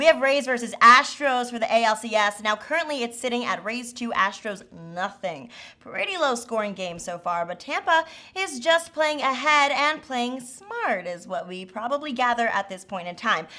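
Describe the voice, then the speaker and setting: Speaking at a moderate pace with an American accent, a woman with a high pitch makes very wide pitch swings and big swings in loudness. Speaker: sports betting show host. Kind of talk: casual panel discussion.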